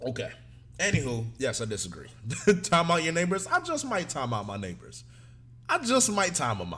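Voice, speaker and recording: Amid audible room echo, a man speaks in an animated tone at a moderate pace, with long, frequent pauses. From Africa. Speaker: streamer reacting to anime. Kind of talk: live stream chat. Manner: loud.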